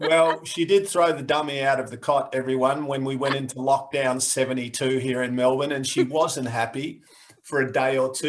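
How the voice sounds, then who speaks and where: With an Australian accent, a man talks at a moderate pace in a fairly high pitch with fairly even intonation, over noticeable background noise. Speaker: podcast host. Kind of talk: casual podcast banter.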